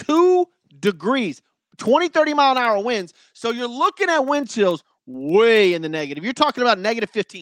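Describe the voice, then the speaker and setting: In a very clean recording with a silent background and a dry, close sound with no echo, a man with an extremely high pitch speaks at a fairly quick pace in an animated tone, with very wide pitch swings. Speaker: sports podcast host. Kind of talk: casual solo sports talk.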